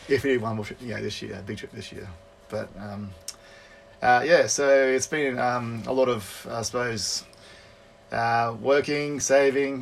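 In an Australian accent, the speaker talks at a fairly slow pace with long, frequent pauses and fairly even intonation. Loudness swings widely, and background noise is noticeable. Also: man, medium pitch for a man. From Brisbane, Australia. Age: 30s. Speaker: traveler on honeymoon. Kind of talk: casual round table chat.

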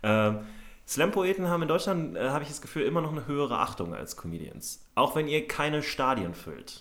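A man's fairly high voice at a fairly quick pace, with very wide pitch swings and big swings in loudness. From Berlin, Germany. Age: 30s. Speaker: comedy podcast host. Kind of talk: casual chat.

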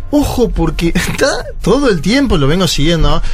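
With music in the background and audible room echo, a man talks at a moderate pace with lively intonation. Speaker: political commentator. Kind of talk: casual chat.

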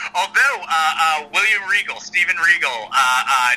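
Over noticeable background noise, a man with an American accent talks at a high pitch with very wide pitch swings. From US South, Atlanta. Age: 40s. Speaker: screenwriter and former wrestling writer. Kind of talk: casual interview chat. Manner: hesitant, many fillers.

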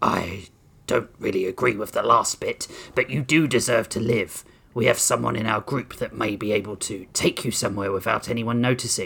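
A man puts on a character voice at a medium pitch. It comes out growling and raspy. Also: moderate pace. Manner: growling, stern.

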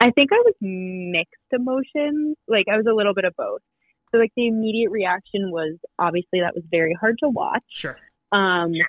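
Lively intonation runs through a plain, everyday voice at a moderate pace. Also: woman, fairly high pitch for a woman. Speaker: podcast co-host. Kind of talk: casual chat.

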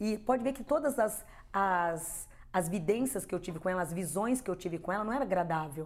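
A woman talks at a moderate pace in an unremarkable speaking voice, with medium pitch and ordinary pitch variation. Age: 50s. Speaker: spiritual medium. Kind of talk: interview testimony.

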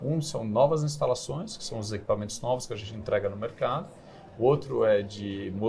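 A man speaks at a fairly quick pace. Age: 40s. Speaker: company CEO. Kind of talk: interview. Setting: studio.

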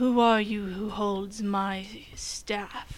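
Using a put-on character voice, a woman speaks at a medium pitch in a monotone, flat delivery. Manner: deathly.

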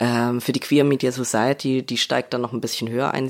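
A man speaks with monotone, flat intonation. His pitch is medium. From Leipzig, Saxony, eastern Germany. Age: young. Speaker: screenwriter. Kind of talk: interview.

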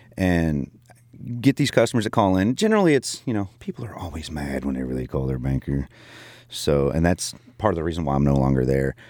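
With noticeable background noise behind him, a man speaks fairly quickly. His very deep, low voice has lively intonation. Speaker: podcast co-host, military veteran, audio student. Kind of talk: casual chat. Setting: studio.

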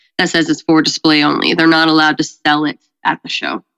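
In an American accent, a woman with an ordinary speaking voice and fairly low pitch talks at a fairly quick pace, captured with a dry, close sound with no echo on a very clean recording with a silent background. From Colorado. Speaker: event coordinator and musician. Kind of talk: casual interview chat.

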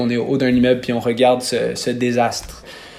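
Noticeable background noise sits behind a man talking at a fairly quick pace in a medium pitch. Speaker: singer. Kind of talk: interview.

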